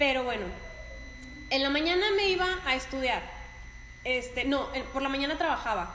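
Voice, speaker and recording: Over noticeable background noise and audible room echo, a woman with a high pitch and lively intonation talks at a moderate pace, her loudness very even, with long, frequent pauses. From northern Mexico, La Laguna region. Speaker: dance teacher. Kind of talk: casual chat.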